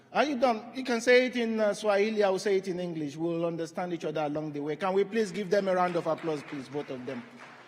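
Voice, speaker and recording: With a Yoruba accent, a man speaks at a very fast pace and a high pitch. His intonation is lively, with noticeable background noise. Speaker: panel moderator. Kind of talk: conference moderation. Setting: stage with audience. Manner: animated.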